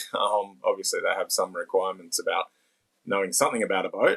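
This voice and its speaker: A man with an Australian accent talks at a fairly quick pace, his voice sounding dry and close with no echo. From Sydney, Australia. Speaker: blind para surfer and sailor. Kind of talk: interview answer. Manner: hesitant, casual.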